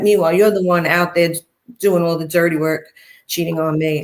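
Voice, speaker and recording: With a Brooklyn accent, a woman speaks at a fairly low pitch with ordinary pitch variation. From Brooklyn, New York. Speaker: interviewee, former mob wife. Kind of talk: interview, personal story. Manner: animated.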